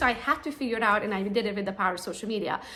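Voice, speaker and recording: A woman speaks in a Romanian accent with an animated tone. Audible room echo and noticeable background noise fill the recording. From Romania, Transylvania. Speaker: real estate agent. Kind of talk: conference talk.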